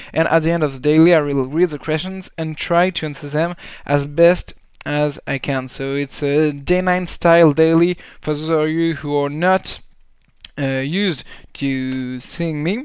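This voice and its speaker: A man speaks at a fairly high pitch and a fairly slow pace. His intonation is fairly even, and the recording is very clean with a silent background. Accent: French. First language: French. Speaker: esports caster. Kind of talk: live game commentary. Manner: halting.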